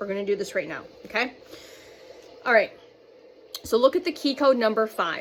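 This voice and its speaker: A high-pitched woman speaks with long, frequent pauses against noticeable background noise. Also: fairly quick pace. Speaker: spiritual channeler. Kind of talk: channeled spiritual message monologue. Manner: fast; halting, stumbling over words.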